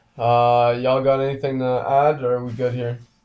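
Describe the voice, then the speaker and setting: Here a man talks with a dark, mellow tone. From Ottawa, Canada. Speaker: podcast host. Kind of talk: casual chat. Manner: animated.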